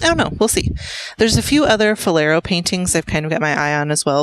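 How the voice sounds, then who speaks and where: A woman speaks at a very fast pace in a fairly low pitch, with lively intonation. The sound is dry and close, with no echo. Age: 30s. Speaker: cross-stitch video creator. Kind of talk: casual monologue. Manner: hesitant, many fillers.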